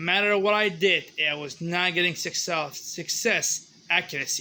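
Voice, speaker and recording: A man's high-pitched, bright, sharp voice with a non-native accent and ordinary pitch variation. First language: not English. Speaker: hobbyist maker. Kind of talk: tutorial. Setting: home garage.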